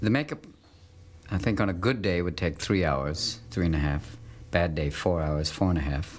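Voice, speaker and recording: Speaking at a moderate pace, a man with a very deep, low pitch uses lively intonation. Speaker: actor being interviewed. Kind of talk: interview answer. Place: home room.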